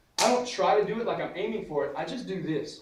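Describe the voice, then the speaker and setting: Over noticeable background noise and audible room echo, a man speaks. His intonation is lively and his pace fairly quick. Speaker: martial arts instructor. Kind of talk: tutorial. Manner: fast; casual.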